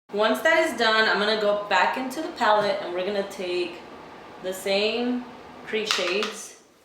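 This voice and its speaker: With audible room echo and noticeable background noise, a woman speaks at a moderate pace in a fairly high pitch with ordinary pitch variation. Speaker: beauty vlogger. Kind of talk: makeup tutorial. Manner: casual, chatty.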